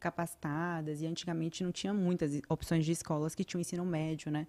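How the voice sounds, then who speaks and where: Fairly quick speech from a woman with a dark, mellow tone. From Bahia, Brazil (Vitória da Conquista, near Minas border); Bahia, Brazil. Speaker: podcast guest. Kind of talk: casual chat. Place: studio. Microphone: studio mic.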